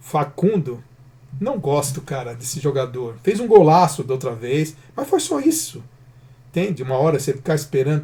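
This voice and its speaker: At a moderate pace, a man talks in a somewhat breathy, fairly high voice with a dark, mellow tone. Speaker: football channel host. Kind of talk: post-match player ratings commentary. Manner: halting, casual with self-corrections.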